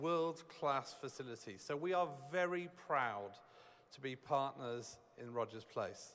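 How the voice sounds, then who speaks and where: This man has a fairly high pitch and a British accent. He speaks at a fairly slow pace with ordinary pitch variation. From United Kingdom. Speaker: corporate executive. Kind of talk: ceremonial speech.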